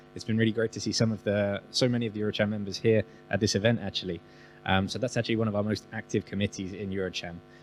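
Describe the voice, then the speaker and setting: Over music in the background, a man with a fairly low voice speaks very fast in a flat monotone. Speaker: business chamber representative. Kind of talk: panel discussion.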